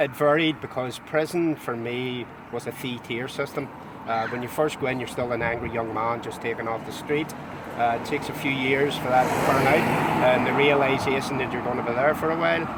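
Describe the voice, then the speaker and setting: A man with a Belfast accent, medium pitch, fairly even intonation and a fairly quick pace, amid noticeable background noise. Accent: Belfast Northern Irish. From Northern Ireland, Belfast. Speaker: former loyalist prisoner, tour guide. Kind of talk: testimony. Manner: halting.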